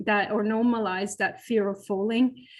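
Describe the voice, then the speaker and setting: This woman has a Flemish accent and a fairly high pitch. She talks at a moderate pace. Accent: Belgian Flemish accent, lasting. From Belgium, Flemish region. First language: Flemish (Dutch). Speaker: professor and physiotherapist, falls researcher. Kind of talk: webinar panel discussion. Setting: live online webinar. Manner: halting, many fillers and repetitions.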